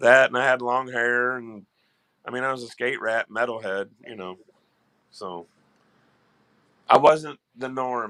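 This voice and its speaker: A man with a Southern accent speaks at a fairly slow pace in a bright, sharp tone. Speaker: live stream co-host. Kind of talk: casual chat.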